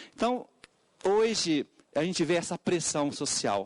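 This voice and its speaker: In a Portuguese accent, a man talks with lively intonation, the sound dry and close with no echo. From Portugal. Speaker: education consultant. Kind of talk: public hearing testimony. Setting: parliamentary committee hearing. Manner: halting, many fillers.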